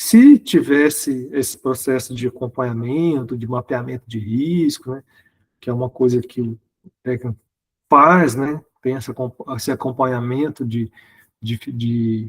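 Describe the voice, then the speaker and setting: At a fairly slow pace, a man with a medium pitch speaks with fairly even intonation in a dry, close recording with no echo. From Brazil, Minas Gerais (Uberlândia). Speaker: guest lecturer. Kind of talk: online lecture. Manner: halting, many fillers and repetitions.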